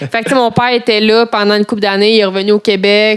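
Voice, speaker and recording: A woman with a Quebec accent speaks in a monotone, flat intonation. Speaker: interviewee. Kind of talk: casual chat.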